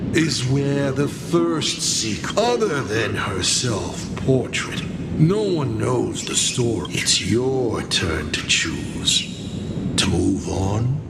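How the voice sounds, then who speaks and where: A man puts on a character voice at a medium pitch. He speaks at a very slow pace over loud background noise. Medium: fan dub. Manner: theatrical, wry.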